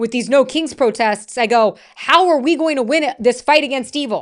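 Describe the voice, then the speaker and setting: A loud, animated woman with an American accent, high-pitched, with ordinary pitch variation, a moderate pace and a quiet background. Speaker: political commentary streamer. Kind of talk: live stream commentary. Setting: live stream.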